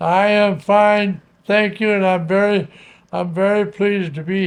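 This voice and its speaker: Fairly slow delivery with fairly even intonation. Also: man. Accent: American. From North Carolina. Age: 90s. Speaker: retired broadcaster and radio instructor. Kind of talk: interview reminiscence. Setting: at home, remote recording. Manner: halting, repeats words.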